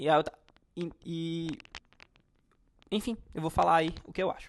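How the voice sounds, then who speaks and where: Spoken with a Cearense accent at a moderate pace, the voice keeps fairly even intonation but shows big swings in loudness. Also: man, high pitch for a man. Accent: Ceará (northeastern Brazilian). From Brazil, Ceará (Fortaleza). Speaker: football fan youtuber. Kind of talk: casual monologue, football commentary. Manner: talkative, rambling with fillers.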